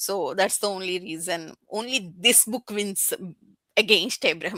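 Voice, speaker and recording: In a very clean recording with a silent background, a woman with a non-native accent speaks at medium pitch and a fairly slow pace. Her tone is animated, bright and sharp, with ordinary pitch variation. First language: not English. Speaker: book YouTuber. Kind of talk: casual chat. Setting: livestream. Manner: halting.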